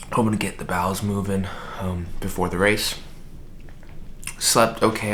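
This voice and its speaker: A soft-spoken man at a moderate pace, fairly low in pitch with fairly even intonation, amid noticeable background noise and audible room echo. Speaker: running vlogger. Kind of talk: casual vlog.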